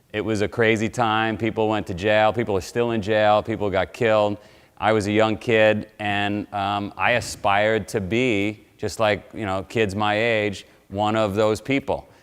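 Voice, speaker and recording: The recording is very clean, with a silent background. A man with a New York accent speaks at a fairly slow pace in a fairly low pitch. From New York City (Queens). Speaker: motivational speaker. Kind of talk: motivational talk. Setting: live audience at military base.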